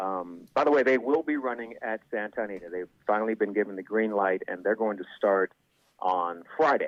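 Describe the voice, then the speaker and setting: A man with a medium pitch in an ordinary speaking voice, at a fairly quick pace with ordinary pitch variation. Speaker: horse racing commentator and podcaster. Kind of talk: interview answer, casual conversation.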